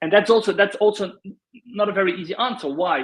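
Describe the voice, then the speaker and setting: A man with a Dutch accent speaks in a high voice. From Netherlands. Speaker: LinkedIn consultant. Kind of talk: panel discussion.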